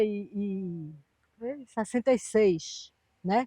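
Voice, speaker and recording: A woman speaks in a dark, mellow tone with ordinary pitch variation. The sound is dry and close, with no echo. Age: 70s. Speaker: retired economist, former political prisoner. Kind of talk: interview testimony. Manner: halting, with repetitions.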